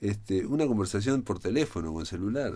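A man talks at a fairly quick pace in a Montevideo accent. His dark, mellow tone moves through very wide pitch swings. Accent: Rioplatense Spanish (Montevideo). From Uruguay. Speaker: radio host. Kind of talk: radio interview. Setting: radio studio. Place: studio.

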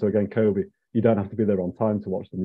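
Against a quiet background, a man with a fairly low voice talks at a very fast pace with fairly even intonation. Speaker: museum research manager hosting lecture. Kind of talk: lecture introduction. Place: home room. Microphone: earbuds.

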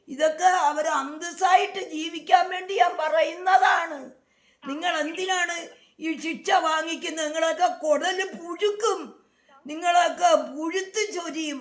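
A woman's extremely high-pitched voice with fairly even intonation. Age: 60s. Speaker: vlogger's mother-in-law. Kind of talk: angry rebuttal to critics. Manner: agitated, emphatic.

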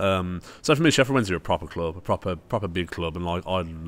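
A man with a Brummie accent speaks in a very deep, low voice. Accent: Brummie (Birmingham) English. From Birmingham, England. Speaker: football YouTuber. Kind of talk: casual chat. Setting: social club venue. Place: bar. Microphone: studio mic.

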